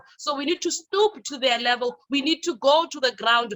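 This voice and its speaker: A woman speaks loudly at a moderate pace with a high pitch. Her tone is energetic, with ordinary pitch variation. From South Africa. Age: young. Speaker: youth leader and radio personality. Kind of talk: conference presentation.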